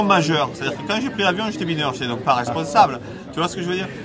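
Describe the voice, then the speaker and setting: A man's animated, very fast speech, fairly high in pitch with very wide pitch swings, amid audible room echo and noticeable background noise. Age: 60s. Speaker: author and comics writer. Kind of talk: casual interview. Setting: book festival.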